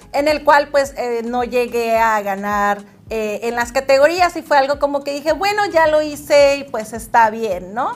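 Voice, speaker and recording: A high-pitched woman's voice with lively intonation, a fairly slow pace and noticeable background noise. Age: 30s. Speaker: model and pageant contestant. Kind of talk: interview.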